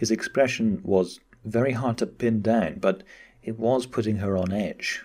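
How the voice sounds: The pitch shifts in an ordinary way through this natural reading voice.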